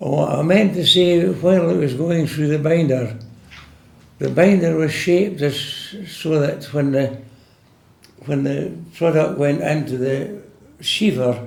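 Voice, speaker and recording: Over noticeable background noise, a man with a Scottish accent speaks at a fairly slow pace and a fairly high pitch, with ordinary pitch variation and long, frequent pauses. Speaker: retired farm worker. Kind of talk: oral history interview answer.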